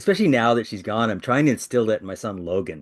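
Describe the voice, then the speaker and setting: A man speaks with an American accent. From Iowa, US Midwest. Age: 60s. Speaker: author. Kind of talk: interview.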